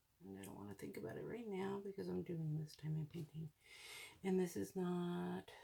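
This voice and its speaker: The speaker mumbles. The pace is moderate. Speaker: hobby crafting video creator. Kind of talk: casual craft tutorial narration. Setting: at home at night. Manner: mumbling; soft-spoken.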